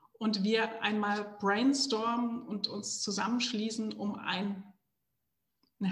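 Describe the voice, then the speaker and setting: This woman's intonation stays flat and monotone. Her voice sits at a medium pitch. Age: 40s. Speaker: entrepreneur. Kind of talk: interview.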